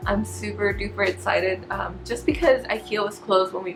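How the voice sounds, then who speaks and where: Medium-pitched female speech with music in the background. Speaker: lifestyle vlogger. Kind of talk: casual haul vlog. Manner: fast.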